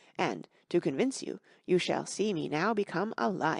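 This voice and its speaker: A raspy, female-sounding, put-on character voice at middle pitch over a quiet background. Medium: read story. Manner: brisk, boastful.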